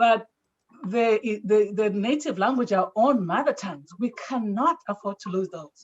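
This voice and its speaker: A woman with a Zambian accent and a fairly high pitch speaks at a fairly slow pace, somewhat breathy, with big swings in loudness. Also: ordinary pitch variation. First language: Tonga. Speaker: audience member asking a question. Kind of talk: question at a panel discussion.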